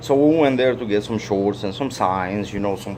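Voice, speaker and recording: The speaker has a Russian accent. The pace is moderate. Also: man. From Soviet Union (Russia/Ukraine). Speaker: vlogger. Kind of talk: casual monologue. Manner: halting, repetitive.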